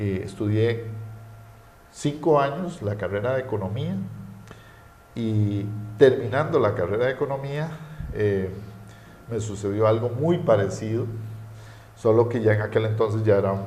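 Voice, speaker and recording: The speech moves at a fairly slow pace with ordinary pitch variation and long, frequent pauses. Audible room echo surrounds the voice. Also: man, medium pitch for a man. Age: 40s. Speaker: economist. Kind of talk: interview. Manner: hesitant, many fillers.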